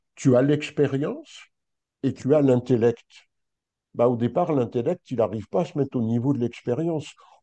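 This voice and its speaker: Against a quiet background, a dark, mellow voice moves at a moderate pace with ordinary pitch variation. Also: man. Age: 60s. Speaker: spiritual teacher. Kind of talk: interview.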